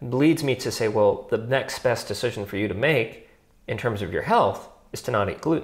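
Against a quiet background, the voice comes across somewhat breathy. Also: man. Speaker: podcast co-host. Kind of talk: casual philosophical discussion. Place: home room. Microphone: lapel.

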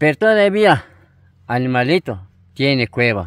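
A man talks very slowly at a fairly high pitch with lively intonation. The sound is dry with no echo, over a quiet background. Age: 80s+. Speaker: elderly farmworker; interviewee. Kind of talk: casual interview. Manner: halting. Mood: sad but resigned. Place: open country. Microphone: phone near.

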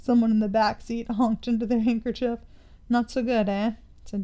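This is plain reading aloud. The text is read through as written.

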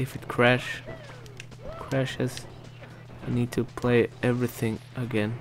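Clear music plays in the background. The speech moves at a very slow pace. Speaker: gameplay commentator. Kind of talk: casual let's play commentary.

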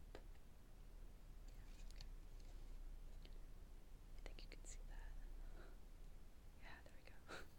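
A woman at a very slow pace, in a dry sound with no echo, amid loud background noise. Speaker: ASMR creator. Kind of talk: ASMR card deck profile, show and tell. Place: home room. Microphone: earbuds.

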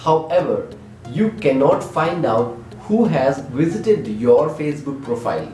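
A man speaks at a fairly slow pace. Faint music plays behind him, and the room echo is audible. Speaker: tech channel host. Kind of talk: tutorial. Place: home room. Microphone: camera far.

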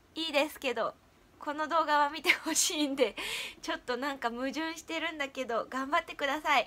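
The tone is bright and sharp, yet relaxed. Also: woman. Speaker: idol and former stage actress, video creator; vlogger. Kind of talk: casual vlog talk. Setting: at home. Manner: relaxed, rambling. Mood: cheerful, encouraging. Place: home room. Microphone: webcam.

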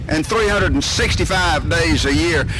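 Over noticeable background noise, a man uses a raised, projected voice, the sound dry with no echo. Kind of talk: ceremonial speech. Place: stage. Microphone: podium.

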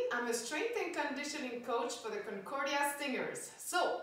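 With strong room echo around her, a woman speaks at a moderate pace and with ordinary pitch variation. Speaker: fitness coach. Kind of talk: workout instruction. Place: home room. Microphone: camera far.

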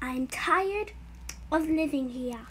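Using a put-on character voice at a high pitch, a woman speaks amid clear background noise. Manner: cute, whiny.

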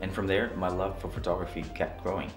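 A man talks at a very fast pace while music plays clearly in the background. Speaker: photography vlogger. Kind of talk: casual vlog chat. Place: home room.

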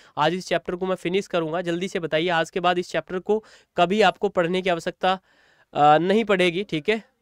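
In a very clean recording with a silent background and a dry, close sound with no echo, a man with a high pitch and a clear, smooth tone talks at a fairly quick pace.

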